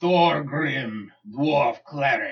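Putting on a character voice, a man speaks in a raspy tone at a fairly high pitch. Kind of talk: mock-heroic character card reading. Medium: actual play. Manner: grandiose, declamatory.

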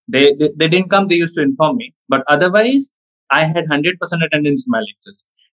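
A man talks at a very fast pace with a fairly high pitch. His intonation is lively. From India. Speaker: comedy content creator. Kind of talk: casual interview chat. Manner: talkative, fluent.

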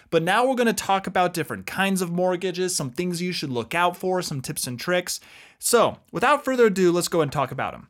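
Someone with an American accent speaks at a fairly quick pace in a very clean recording with a silent background. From US South, Texas. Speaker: podcast co-host. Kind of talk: casual chat.

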